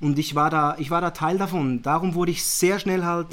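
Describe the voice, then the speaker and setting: A man with a Zurich accent speaks at a high pitch. His intonation is fairly even and his pace moderate. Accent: Swiss German (Zurich). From Zurich, Switzerland. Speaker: managing director, media and innovation manager. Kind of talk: casual interview chat.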